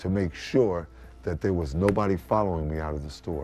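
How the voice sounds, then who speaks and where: A man's voice over background music. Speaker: formerly homeless radio-style announcer. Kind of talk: interview answer.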